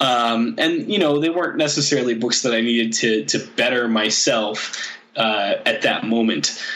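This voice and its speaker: A man at a moderate pace with very even loudness, hardly any pauses and noticeable background noise. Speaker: guest. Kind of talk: casual interview chat.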